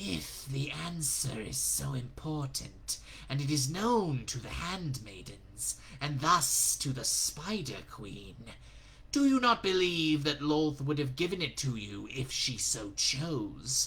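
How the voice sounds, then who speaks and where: Clear background noise behind a put-on character voice delivered rather slowly. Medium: read story. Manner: mocking, insidious.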